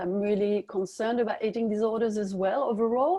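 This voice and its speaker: A woman speaks with a French accent. Her voice sits at medium pitch with a dark, mellow tone. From France. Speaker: dietitian. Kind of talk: webinar interview. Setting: online webinar.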